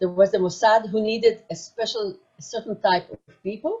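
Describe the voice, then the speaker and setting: A woman's fairly high, somewhat breathy voice at a moderate pace. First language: German. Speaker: former intelligence agent. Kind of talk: testimony. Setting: virtual conference broadcast. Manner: halting.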